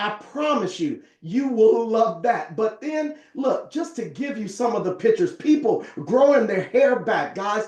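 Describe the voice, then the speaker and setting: A man talks at a fairly slow pace with hardly any pauses, in an extremely high pitch with very wide pitch swings. His tone is animated, and there is noticeable background noise. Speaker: network marketing presenter. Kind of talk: sales pitch.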